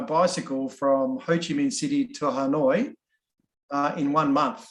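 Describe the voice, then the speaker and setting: Speaking at a fairly slow pace, a man with an Australian accent swings very widely in pitch. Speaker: workshop facilitator. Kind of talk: online workshop icebreaker. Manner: halting.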